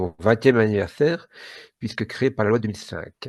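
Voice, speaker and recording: A man talks in a medium pitch with ordinary pitch variation, the background quiet. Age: 60s. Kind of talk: podcast interview. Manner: hesitant, many fillers.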